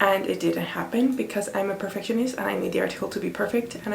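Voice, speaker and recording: Noticeable background noise and audible room echo fill the recording. Within it, a woman speaks at a very fast pace. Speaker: PhD student and lifestyle vlogger. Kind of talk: casual vlog talk to camera.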